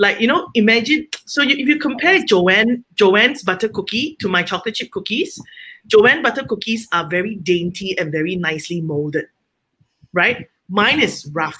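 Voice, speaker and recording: Loud and bright with a sharp tone, a woman speaks at fairly high pitch and a moderate pace. Her pitch swings very widely. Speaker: home baker and small business owner. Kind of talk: panel discussion. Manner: outspoken.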